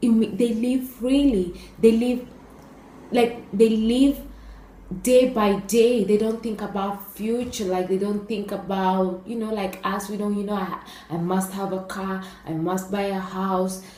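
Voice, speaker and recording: With an East African accent, a woman at medium pitch speaks amid noticeable background noise and audible room echo. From Kenya. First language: Swahili. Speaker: YouTuber. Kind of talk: casual vlog talk. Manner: hesitant, many fillers.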